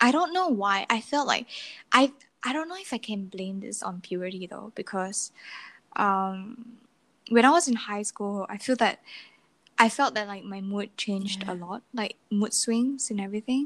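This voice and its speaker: Recorded very cleanly with a silent background, a woman with an unremarkable speaking voice talks at a moderate pace in a fairly high voice, with ordinary pitch variation and big swings in loudness. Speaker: podcast host. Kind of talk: casual chat. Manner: laughs often, casual.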